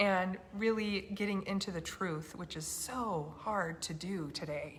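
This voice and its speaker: Soft-spoken and fairly slow, a woman talks at a medium pitch with ordinary pitch variation in audible room echo. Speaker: health freedom activist host. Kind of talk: casual chat. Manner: soft-spoken, talking quietly.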